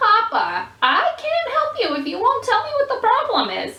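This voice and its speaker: In a squeaky, put-on character voice, a female-sounding speaker talks at a moderate pace with an extremely high pitch. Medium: read story. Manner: calm, patient.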